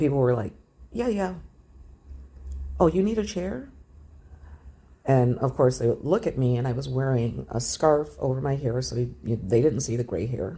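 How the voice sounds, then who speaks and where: Vocal fry colors a dark, mellow tone with very wide pitch swings. The pace is moderate, broken by long, frequent pauses. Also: woman, very deep, low pitch for a woman. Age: 60s. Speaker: travel vlogger. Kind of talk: casual storytelling.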